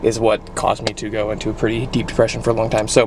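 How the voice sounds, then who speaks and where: The man rushes along at a very fast pace with noticeable background noise behind him. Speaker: vlogger. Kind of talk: casual vlog. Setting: restaurant.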